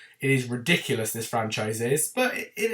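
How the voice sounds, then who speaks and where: Somewhat breathy, a man talks with an English accent. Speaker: film reviewer youtuber. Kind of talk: casual video review talk. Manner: chatty, informal.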